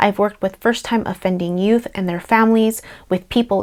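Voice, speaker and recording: Fairly high in pitch and fairly even in intonation, a woman speaks with a Spanish accent. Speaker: therapist, social worker. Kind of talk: personal introduction to camera. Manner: playful.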